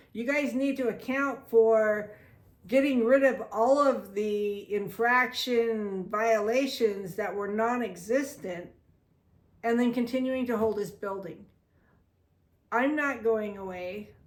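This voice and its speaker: A woman with a fairly high pitch talks at a very slow pace amid audible room echo. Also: ordinary pitch variation. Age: 60s. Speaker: video blogger. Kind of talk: personal monologue. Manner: animated.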